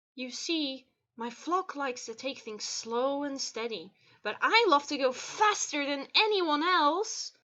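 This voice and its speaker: A woman puts on a croaky, high-pitched character voice and speaks at a fairly slow pace. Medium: read story.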